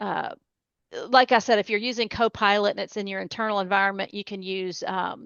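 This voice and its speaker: The speaker has a Tennessee accent and a monotone, flat intonation at a moderate pace. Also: woman. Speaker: cybersecurity expert. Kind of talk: interview.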